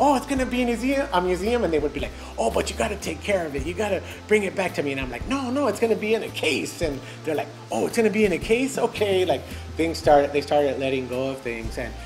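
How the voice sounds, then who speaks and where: The speech moves at a very fast pace while clear music plays in the background. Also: man. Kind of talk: interview answer. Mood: warm, amused. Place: home room.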